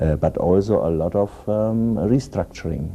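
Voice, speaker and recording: Against noticeable background noise, a man with a German accent speaks at a fairly slow pace with lively intonation. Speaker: economics specialist. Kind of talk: roundtable discussion. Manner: halting.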